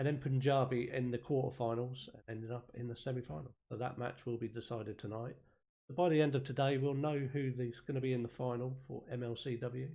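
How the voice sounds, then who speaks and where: A man talks at a fairly quick pace with fairly even intonation and a dark, mellow tone that is somewhat breathy. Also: medium pitch for a man. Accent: East Anglian. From East Anglia, England. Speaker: esports caster and streamer. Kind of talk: live commentary. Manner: casual, chatty.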